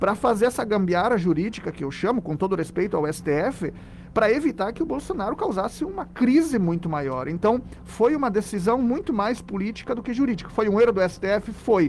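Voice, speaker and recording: With a Rio Grande do Sul accent, the speaker talks fairly quickly, pitch swinging very widely. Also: man, high pitch for a man. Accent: southern Brazilian (gaúcho) accent, kept. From southern Brazil, Rio Grande do Sul. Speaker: philosophy professor. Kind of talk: radio interview.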